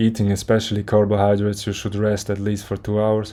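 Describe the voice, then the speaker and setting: This man has a non-native accent, a fairly low pitch, and a dark, mellow tone. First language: not English. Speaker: fitness content creator. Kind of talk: motivational monologue. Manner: halting, with restarts.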